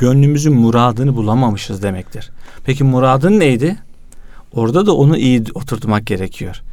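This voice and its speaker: The man speaks at a moderate pace with a medium pitch and lively intonation. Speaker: youth association president and magazine editor. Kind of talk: religious talk. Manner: energetic.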